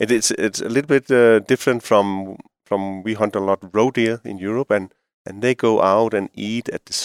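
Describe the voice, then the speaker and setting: With a Danish accent, a man speaks using fairly even intonation. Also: very clean recording, silent background. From Denmark. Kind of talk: casual interview chat. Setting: studio.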